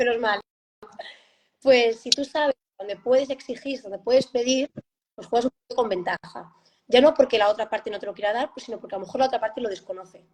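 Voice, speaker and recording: A high-pitched woman talks very fast with ordinary pitch variation and big swings in loudness. Long, frequent pauses break her speech, and the sound is dry and close with no echo. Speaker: parent of gifted child. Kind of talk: interview conversation. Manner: halting.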